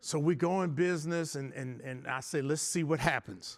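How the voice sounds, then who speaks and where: With an American accent, a man speaks at a moderate pace and a fairly high pitch, using ordinary pitch variation in an unremarkable speaking voice. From US Midwest, south side of Chicago. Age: 60s. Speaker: architect and business owner, abuse survivor speaker. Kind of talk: motivational talk.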